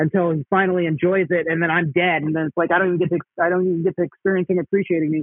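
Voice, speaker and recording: A man talks at a very fast pace with an American accent. His pitch is high, with fairly even intonation. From Dallas, Texas. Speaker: stand-up comedian. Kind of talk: casual interview. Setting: remote call.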